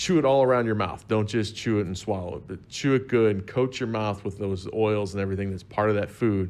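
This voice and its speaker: A normal speaking voice from a man with an American accent, fairly low in pitch, at a fairly quick pace with ordinary pitch variation. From Southern Illinois, US. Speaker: wine expert guest. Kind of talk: casual chat.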